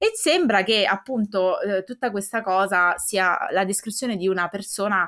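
With a bright, sharp tone, a woman speaks at medium pitch and a moderate pace with ordinary pitch variation, recorded very cleanly against a silent background. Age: young. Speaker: podcast co-host. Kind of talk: casual chat.

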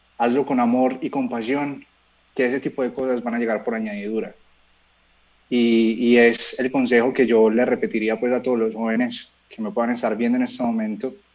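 This man's voice is at a medium pitch and a moderate pace. His intonation stays monotone and flat. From Colombia, Medellín. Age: 20s. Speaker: singer-songwriter. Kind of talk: interview.

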